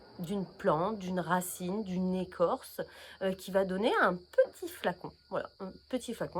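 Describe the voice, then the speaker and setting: A woman speaks at a medium pitch. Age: 40s. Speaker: naturopath. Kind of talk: casual vlog presentation. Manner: hesitant, many fillers.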